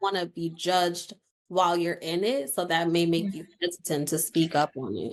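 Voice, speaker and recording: At a moderate pace, a woman speaks in an ordinary speaking voice with a fairly low pitch and ordinary pitch variation. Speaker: podcast host. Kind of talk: podcast interview questions.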